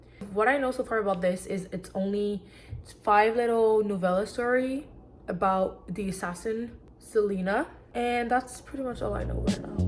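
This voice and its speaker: Against noticeable background noise, a woman with a medium pitch and an animated tone talks at a moderate pace with ordinary pitch variation. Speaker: booktuber. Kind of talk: casual reading vlog.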